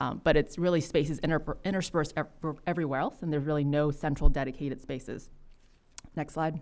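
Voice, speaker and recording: A woman talks at a very fast pace with a very deep, low pitch. Her intonation stays fairly even. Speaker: city council member. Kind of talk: presentation at council work session.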